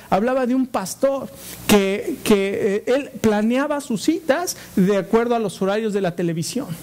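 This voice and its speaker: Lively intonation stands out against noticeable background noise. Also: man. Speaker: pastor. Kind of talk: sermon.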